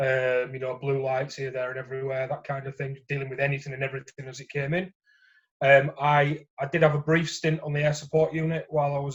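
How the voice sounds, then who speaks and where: A man with a Yorkshire accent talks at a very fast pace in a fairly high pitch. His intonation is flat and monotone, and his voice is somewhat breathy. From Yorkshire, northern England. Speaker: former police officer, gambling support worker. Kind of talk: interview testimony. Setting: phone call. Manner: hesitant with fillers.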